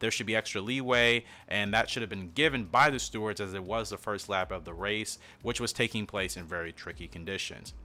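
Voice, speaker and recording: With music in the background, the speaker talks at a fairly quick pace with ordinary pitch variation. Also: man. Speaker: F1 commentary YouTuber. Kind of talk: commentary video. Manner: fast.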